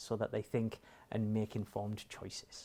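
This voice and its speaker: This man's voice sits fairly low in pitch and moves at a moderate pace. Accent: northeast English. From northeast England. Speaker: financial advisory chief executive. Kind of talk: interview.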